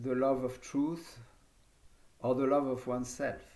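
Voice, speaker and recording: A man with a French accent, medium in pitch and dark, mellow in tone, speaking at a very slow pace amid audible room echo. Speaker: yoga teacher. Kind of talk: lecture. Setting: video conference.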